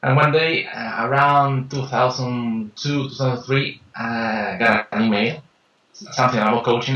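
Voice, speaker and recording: This man speaks in a Peruvian accent. His pitch is medium and his pace moderate. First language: Spanish. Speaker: life and business coach. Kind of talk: interview. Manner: halting, many fillers and repetitions.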